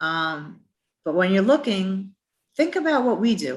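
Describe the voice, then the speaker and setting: Somewhat breathy, a woman with a New York accent speaks at a moderate pace and medium pitch. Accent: New York accent, noticeable. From Brooklyn, New York. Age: 50s. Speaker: transit agency representative. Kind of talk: career presentation.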